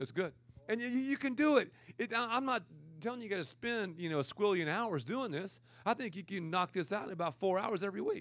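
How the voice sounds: A loud man with a high pitch and a fairly bright tone talks at a fairly quick pace with lively intonation, recorded very cleanly against a silent background.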